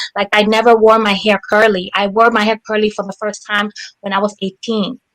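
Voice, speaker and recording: A woman with a Spanish accent speaks at a fairly high pitch in a monotone, flat intonation. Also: dry, close sound with no echo. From Dominican Republic and US. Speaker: poet. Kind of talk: panel discussion.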